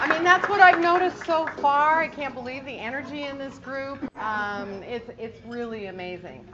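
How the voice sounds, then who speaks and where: A woman with an American accent speaks at a fairly slow pace in a bright, sharp tone. Her pitch swings very widely amid audible room echo. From US Pacific Northwest. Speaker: guest speaker, lighting industry salesperson. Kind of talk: luncheon presentation. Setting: luncheon room with audience.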